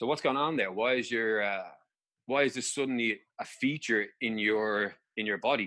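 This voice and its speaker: In an Irish accent, the speaker talks at a moderate pace with a bright, sharp tone and ordinary pitch variation. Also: man, medium pitch for a man. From Ireland. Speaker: injury specialist and personal trainer. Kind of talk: interview.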